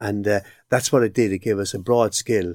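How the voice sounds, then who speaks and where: A man with a Cork accent talks fairly quickly in a fairly low pitch and fairly even intonation. The recording is very clean, with a silent background and a dry, close sound with no echo. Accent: Irish, Cork. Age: 60s. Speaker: occupational psychologist. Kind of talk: interview.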